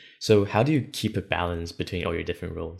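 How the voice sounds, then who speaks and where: A man speaks with a very deep, low voice. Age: 20s. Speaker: podcast host, student. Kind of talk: interview.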